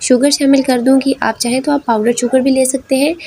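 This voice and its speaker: A high-pitched woman at a moderate pace, fairly even in intonation, over noticeable background noise. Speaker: cooking channel host. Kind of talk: cooking tutorial. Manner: hesitant fillers (uh).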